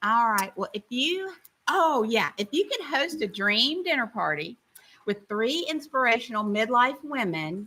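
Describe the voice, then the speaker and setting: Speaking slowly with a Tennessee accent, a woman uses a fairly high pitch, a bright, sharp tone and very wide pitch swings. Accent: Southern US (Tennessee). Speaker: podcast co-host. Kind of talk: casual chat. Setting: live stream.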